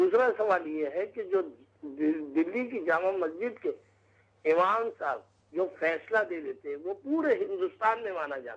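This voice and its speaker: The man's voice sits high in pitch. Lively intonation colors his delivery. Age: 60s. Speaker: caller. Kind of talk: call-in question.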